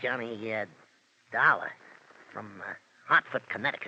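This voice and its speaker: A man puts on a character voice and talks at a moderate pace. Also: medium pitch for a man. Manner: gruff, tough-guy slang.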